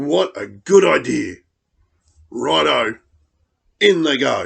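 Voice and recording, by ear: In a put-on character voice, a man speaks slowly at medium pitch with a fairly bright tone, a slightly husky edge, vocal fry and big pitch swings.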